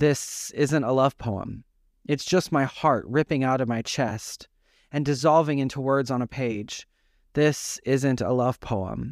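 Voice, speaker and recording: A man talks at a medium pitch in a plain, everyday voice, fairly slow and with fairly even intonation. The recording is very clean with a silent background, dry and close with no echo. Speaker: poet reading own poem. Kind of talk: poetry reading.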